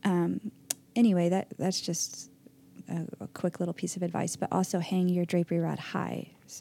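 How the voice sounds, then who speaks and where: In a soft-spoken, monotone delivery, a woman with a fairly low pitch and a dark, mellow tone talks at a moderate pace with flat intonation. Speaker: podcast host. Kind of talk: casual chat. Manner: quiet and soft-spoken.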